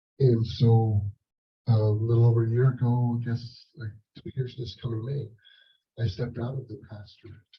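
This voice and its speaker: A man speaks at a medium pitch and a moderate pace. His voice is somewhat breathy, and his intonation is monotone and flat. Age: 60s. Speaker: leadership coach and former pastor, panelist. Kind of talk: panel discussion answer. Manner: halting, many repeated words.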